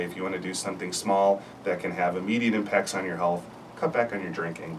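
There is noticeable background noise as a man speaks at a very deep, low pitch. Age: 50s. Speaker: family physician. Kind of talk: panel discussion. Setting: radio studio.

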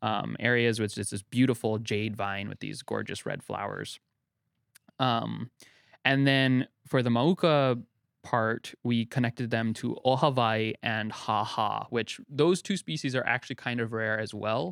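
Delivered at a moderate pace with ordinary pitch variation, the voice comes through a very clean recording with a silent background and a dry, close sound free of echo. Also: man. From US West (Utah). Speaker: bird biologist. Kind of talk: casual interview. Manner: halting, many fillers.

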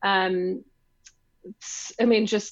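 A woman speaks with a British accent. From London, England. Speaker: business co-founder. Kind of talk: casual interview chat.

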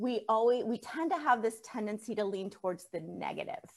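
A normal speaking voice from a woman, fairly high in pitch, with lively intonation and a fairly quick pace. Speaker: podcast host. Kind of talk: casual interview.

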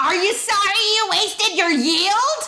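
Someone uses a put-on character voice at a moderate pace over clear background noise. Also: female-sounding voice, extremely high pitch for a woman. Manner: scolding.

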